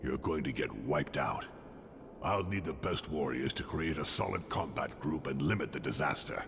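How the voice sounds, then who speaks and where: A man puts on a character voice at a moderate pace over loud background noise. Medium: video game. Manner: gruff, dry.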